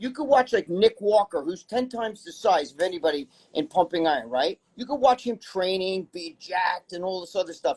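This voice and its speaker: With big swings in loudness and lively intonation, a high-pitched man speaks at a fairly quick pace in a dry, close sound with no echo. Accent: New York. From New York. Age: 60s. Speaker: bodybuilding personality and magazine writer. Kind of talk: casual interview chat.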